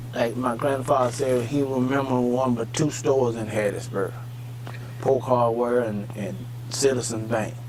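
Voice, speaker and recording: A man with a Southern US accent speaks at medium pitch and a moderate pace, in a monotone, flat intonation. The room echo is audible and there is noticeable background noise. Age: 70s. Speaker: elder farmer interviewee. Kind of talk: oral history interview.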